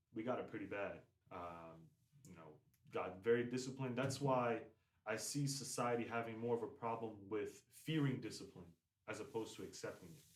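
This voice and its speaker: Fairly quick man's speech with an American accent, big swings in loudness, long, frequent pauses and audible room echo. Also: medium pitch for a man, ordinary pitch variation. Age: 20s. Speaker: semi-professional soccer player. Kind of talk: casual chat. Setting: podcast.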